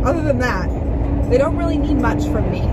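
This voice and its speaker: A woman speaks over loud background noise. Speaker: vlogger. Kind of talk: casual vlog chat. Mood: playful, chatty. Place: car. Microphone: phone near.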